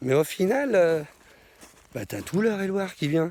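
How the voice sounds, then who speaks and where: A man speaks with very wide swings in pitch. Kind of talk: casual vlog monologue. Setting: outdoors in a forest.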